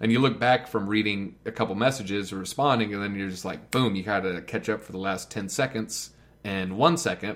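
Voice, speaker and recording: A man with an ordinary speaking voice, fairly low pitch, ordinary pitch variation, a fairly quick pace and big swings in loudness. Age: 30s. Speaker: content creator. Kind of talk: casual chat.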